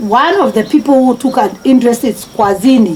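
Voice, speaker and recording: Noticeable background noise sits behind a woman speaking at a moderate pace. Her voice is fairly high in pitch, with lively intonation. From Kenya, Machakos county. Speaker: marathon runner. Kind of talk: interview. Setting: at home. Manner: halting.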